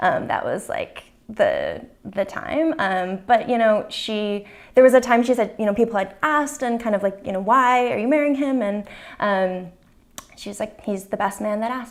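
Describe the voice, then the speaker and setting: In a very clean recording with a silent background, a woman with an American accent talks in a normal speaking voice at a fairly high pitch. Her loudness swings widely while her pitch varies in an ordinary way. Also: moderate pace. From Massachusetts, Cape Cod. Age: 30s. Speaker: interviewee. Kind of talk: personal testimony interview. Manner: casual, many fillers (um, like).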